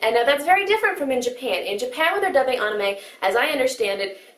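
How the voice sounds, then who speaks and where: Amid noticeable background noise and audible room echo, a woman with an American accent speaks at a high pitch with very wide pitch swings. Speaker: anime commentator. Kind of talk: video commentary. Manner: fast.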